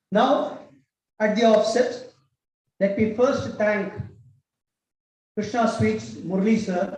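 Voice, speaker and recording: Long, frequent pauses break up a man's very slow speech at a high pitch. His intonation is fairly even, with audible room echo. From Tamil Nadu, India. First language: Tamil. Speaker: cultural institute director, speaker. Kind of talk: public speech.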